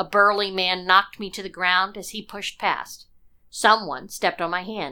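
Natural-voiced reading of a text

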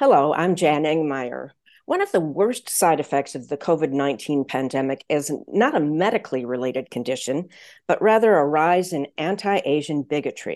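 A woman's very deep, low-pitched voice with lively intonation over a quiet background. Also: moderate pace. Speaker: podcast host interviewer. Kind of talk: interview hosting. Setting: video call.

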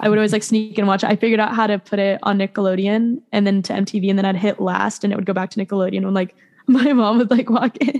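A woman speaks very fast with hardly any pauses, at a medium pitch and fairly even intonation. The sound is dry and close, with no echo. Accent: American. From West Virginia, Beckley. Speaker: country rock singer-songwriter. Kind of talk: casual interview. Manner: fast, filler-heavy (like, um).

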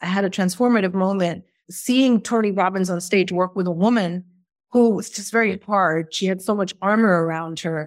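A woman talks at a fairly quick pace and a medium pitch. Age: 40s. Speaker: podcast host and manifestation coach. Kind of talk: online course lecture. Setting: hotel room. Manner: animated.

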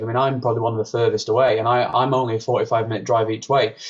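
Somewhat breathy and fairly even in intonation, a man speaks at a fairly quick pace with a medium pitch. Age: 20s. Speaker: brass musician. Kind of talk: interview. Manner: halting.

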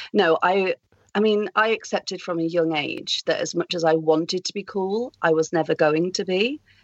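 A woman with a British accent speaks at a moderate pace and medium pitch, with ordinary pitch variation. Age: 30s. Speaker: actor and first-time novelist. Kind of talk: casual interview chat.

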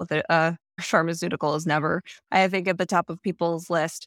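A woman at a fairly low pitch, dry and close with no echo, in a very clean recording over a silent background. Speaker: podcast host and strategist. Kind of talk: casual chat.

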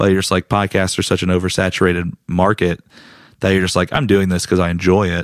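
The speech comes very fast in an American accent, with monotone, flat intonation. The sound is dry and close with no echo, on a very clean recording with a silent background. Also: man, very deep, low pitch for a man. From US South, Raleigh, North Carolina. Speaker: comedian. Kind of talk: casual chat.

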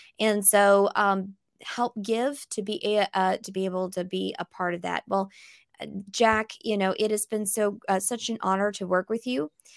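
The sound is dry and close, with no echo. A woman talks at a moderate pace in a medium pitch. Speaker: podcast co-host. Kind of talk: interview.

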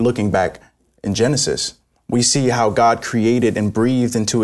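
A man with an American accent talks at a moderate pace and medium pitch in an ordinary speaking voice, over a quiet background. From New York City. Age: young. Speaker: Salvation Army officer. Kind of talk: religious discussion.

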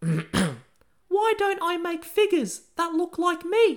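This put-on character voice sounds squeaky and crawls along at a very slow pace. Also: man, extremely high pitch for a man.

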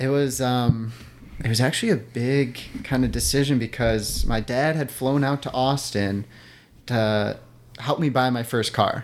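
On a very clean recording with a silent background, a man with an American accent and an unremarkable speaking voice talks at a fairly slow pace, with medium pitch and fairly even intonation. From Wisconsin, outside Milwaukee. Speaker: long-distance hiker. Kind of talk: casual interview.

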